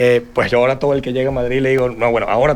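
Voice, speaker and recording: Speaking very fast, a man delivers his words in a monotone, flat intonation. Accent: Venezuelan. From Venezuela. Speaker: real estate panelist. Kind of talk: panel discussion.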